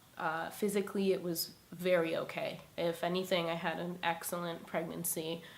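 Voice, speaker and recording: In a room with audible echo, a woman talks at a fairly low pitch in a monotone, flat intonation. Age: 20s. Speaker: single mother sharing her story. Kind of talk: personal testimony. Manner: casual with many fillers.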